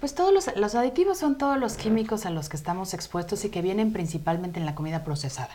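A woman talks at a very fast pace with hardly any pauses and very wide pitch swings around a medium pitch. Noticeable background noise sits behind her. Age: 40s. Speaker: health coach. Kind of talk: interview on a live web show. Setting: studio.

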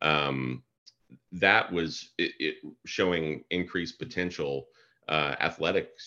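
A man speaks with a very deep, low pitch and vocal fry. His pitch varies in an ordinary way. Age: 50s. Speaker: biochemist. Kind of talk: casual chat.

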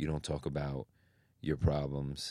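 A man is speaking. He has a New York accent. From New York (Queens), Chinese family. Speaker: fashion designer. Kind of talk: casual chat.

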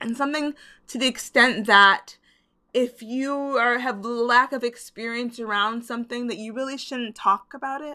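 A woman with an American accent speaks at a high pitch and a moderate pace, in an animated, bright, sharp tone. Her loudness swings widely, and the recording is very clean with a silent background. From US Midwest, Chicago. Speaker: podcast host. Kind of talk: solo monologue.

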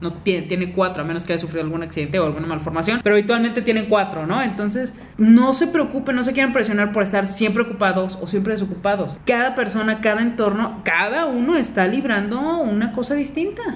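Over noticeable background noise and audible room echo, a woman rattles on at a very fast pace with hardly any pauses, her fairly high voice animated in tone and lively in intonation. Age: 20s. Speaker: podcast co-host. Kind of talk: casual chat.

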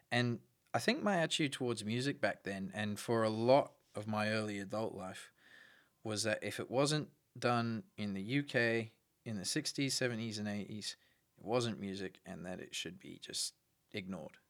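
The speaker has an Australian accent. The loudness swings widely. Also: man, medium pitch for a man, ordinary pitch variation, moderate pace. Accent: Australian with a noted twang. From Brisbane, Australia. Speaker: musician. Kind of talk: interview. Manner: halting.

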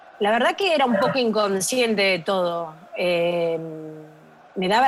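Audible room echo surrounds a woman talking. She goes at a fairly slow pace with lively intonation. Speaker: daughter of a football coach. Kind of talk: casual chat.

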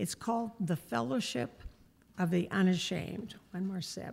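The speech comes at a moderate pace. The voice is somewhat breathy. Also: woman. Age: 70s. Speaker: missionary. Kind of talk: church update talk. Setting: church.

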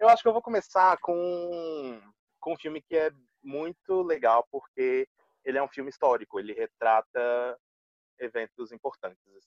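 A man with an ordinary speaking voice talks at a fairly high pitch and a moderate pace. His intonation is lively and his loudness swings a lot. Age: 20s. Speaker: English teacher. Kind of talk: casual chat.

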